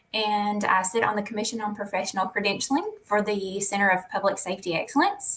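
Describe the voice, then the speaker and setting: A woman with a Southern US accent at a very fast pace, medium pitch and fairly even intonation. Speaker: public information officer and educator. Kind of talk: interview.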